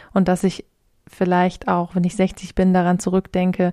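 A woman speaks at medium pitch with a dark, mellow tone. The recording is very clean, with a silent background. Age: 20s. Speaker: spiritual mentor and podcast host. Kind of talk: solo podcast monologue.

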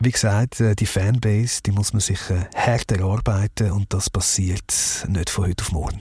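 Somewhat breathy with a dark, mellow tone, a man speaks at a moderate pace in a fairly low pitch. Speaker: former radio host and audio branding founder. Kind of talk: interview. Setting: mobile podcast studio vehicle.

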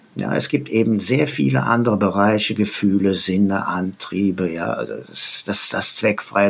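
Noticeable background noise runs through the clip. A man speaks at a moderate pace in a fairly low pitch. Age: 70s. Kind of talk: interview.

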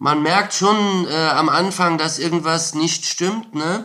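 A man speaks very slowly at a high pitch. His tone is bright and sharp, with ordinary pitch variation. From Saarland, Germany. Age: 30s. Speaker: former drug producer and ex-prisoner. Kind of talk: interview testimony. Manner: frequent hesitations.

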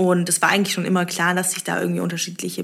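A somewhat breathy woman at a fairly low pitch. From Stuttgart, Germany. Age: 20s. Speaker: startup founder. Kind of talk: interview. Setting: coworking space.

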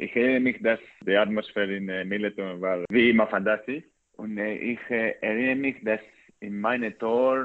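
A man talks at a fairly low pitch. His intonation stays fairly even. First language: Greek (speaking German). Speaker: professional footballer. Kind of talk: interview. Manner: halting, many hesitations.

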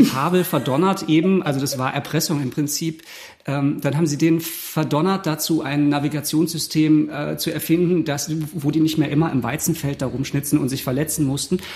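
A man with a fairly high pitch talks at a moderate pace with fairly even intonation in an unremarkable speaking voice. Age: 40s. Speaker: theatre musician and cabaret artist. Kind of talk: casual chat.

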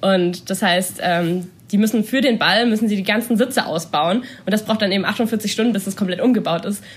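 Somewhat breathy and medium in pitch, a woman speaks at a fairly quick pace. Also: ordinary pitch variation. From Baden-Württemberg, near Stuttgart. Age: 20s. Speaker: student and dancer. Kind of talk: casual interview.

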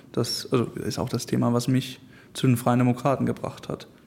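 Medium in pitch, a man's voice carries a dark, mellow tone. He speaks at a fairly quick pace. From Hamburg, northern Germany. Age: 20s. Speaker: young politician, law student. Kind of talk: interview.

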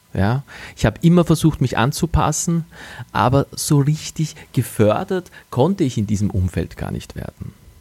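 The voice is somewhat breathy and moves at a moderate pace. Its pitch swings very widely. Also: man, fairly high pitch for a man. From Austria, Wachau region (Lower Austria). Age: 40s. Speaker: podcast host and communications agency owner. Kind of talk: motivational monologue. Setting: living room at home, early morning.

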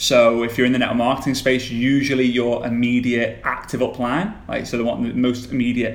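A man of medium pitch speaks at a very fast pace in a monotone, flat intonation. There is audible room echo. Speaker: social media coach for network marketers. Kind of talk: casual interview.

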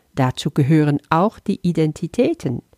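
Dark, mellow tone from a woman with a Dutch accent, fairly slow, with very wide pitch swings and a dry, close sound with no echo. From Netherlands, moved to Flanders, Belgium at 12. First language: Dutch (speaking German). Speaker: spiritual teacher. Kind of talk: spiritual lesson talk.

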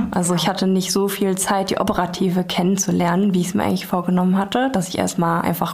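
A woman speaks with monotone, flat intonation. Audible room echo and noticeable background noise surround her voice. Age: 30s. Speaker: hotel successor. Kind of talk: interview. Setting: hotel room.

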